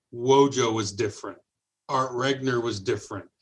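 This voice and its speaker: A man with a medium-pitched voice delivers his words fairly quickly. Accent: Midwestern American. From Detroit, Michigan. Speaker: radio program director. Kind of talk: casual interview.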